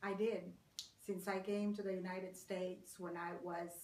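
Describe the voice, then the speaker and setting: The speech is fairly slow and monotone, with flat intonation and a Spanish accent. Audible room echo fills the space. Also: woman. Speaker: court interpreter. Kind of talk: interview.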